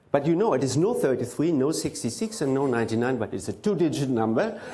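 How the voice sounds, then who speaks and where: Fairly high-pitched man with a German accent, dark, mellow tone, very wide pitch swings and fairly quick pace, in audible room echo. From Germany. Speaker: mentalist. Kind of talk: stage performance. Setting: stage with audience.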